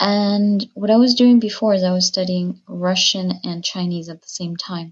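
This woman's voice sits at a medium pitch and is somewhat breathy, moving at a moderate pace with fairly even intonation. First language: Spanish. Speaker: language learner. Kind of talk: recorded listener question.

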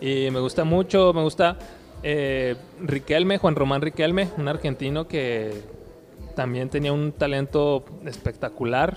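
Music plays behind a man whose fairly high voice shows ordinary pitch variation. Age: 30s. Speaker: futsal player. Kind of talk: interview. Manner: halting, many repetitions.

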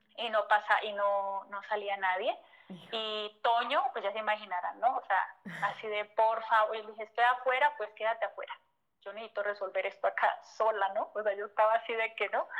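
A woman with a Colombian accent speaks with big swings in loudness. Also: fairly high pitch for a woman, ordinary pitch variation. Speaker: entrepreneur. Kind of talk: interview. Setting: phone call. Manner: fast.

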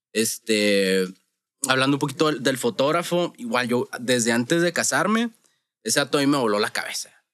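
A man talks at medium pitch and a moderate pace in a Sonoran accent. His intonation is lively, and the sound is dry and close with no echo. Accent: Sonoran Mexican. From Mexico, Sonora (Hermosillo). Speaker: wedding photographer. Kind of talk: casual chat.

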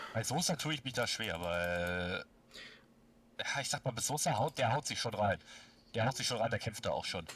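At a moderate pace with lively intonation and long, frequent pauses, the speaker comes through in a very clean recording with a silent background. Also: man, medium pitch for a man. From Baden-Württemberg, near Stuttgart. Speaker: football fan. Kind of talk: casual chat. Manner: animated.

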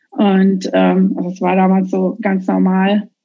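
The voice is a woman's, somewhat breathy. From Hesse, Germany (rural, near Marburg). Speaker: artist and former hardcore punk singer. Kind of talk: casual interview.

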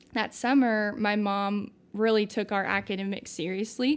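Heard on a very clean recording with a silent background, a woman with an American accent uses a plain, everyday voice at a medium pitch, a fairly slow pace, and fairly even intonation. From US Midwest, southern Indiana small town. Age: 20s. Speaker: recent Bible college graduate, young ministry worker. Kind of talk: casual interview chat.

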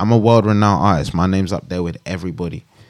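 Very deep, low male speech, very fast in pace, with ordinary pitch variation. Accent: London. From West London, England. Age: 20s. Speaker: rapper. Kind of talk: casual chat.

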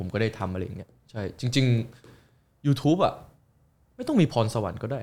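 A man's voice comes through somewhat breathy, with ordinary pitch variation. The recording is very clean, with a silent background. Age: 20s. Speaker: YouTuber. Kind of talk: casual chat.

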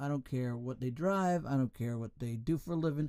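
A fairly high-pitched man with lively intonation on a very clean recording with a silent background. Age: 60s. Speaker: podcast host. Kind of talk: solo monologue. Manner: halting; animated.

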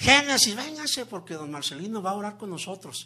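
A man's high, raised and projected voice with very wide pitch swings. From Mexico, Zacatecas. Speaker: guest preacher. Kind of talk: sermon. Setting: church with congregation.

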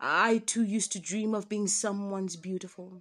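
Here a woman speaks at medium pitch and a moderate pace. Her intonation is monotone and flat. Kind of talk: spoken word poetry, intimate and confessional.

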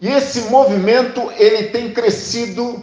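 A man speaks at a very slow pace, his pitch high for a man. The room echo is audible. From Brazil, Paraná (Sarandi, near Maringá). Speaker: pastor. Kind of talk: sermon.

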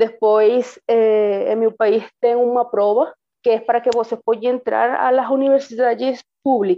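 Fairly high-pitched, a woman speaks at a fairly slow pace. Her intonation is monotone and flat, and her loudness stays very even. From Venezuela. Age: 30s. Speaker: veterinarian, migrant. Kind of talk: personal testimony. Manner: halting, with fillers.

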